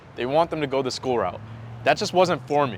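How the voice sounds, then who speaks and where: A man with an ordinary speaking voice, medium in pitch, with an American accent. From mixed: Japan, then United States from first grade. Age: 20s. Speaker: sales coach. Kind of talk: personal story monologue to camera. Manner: casual, conversational.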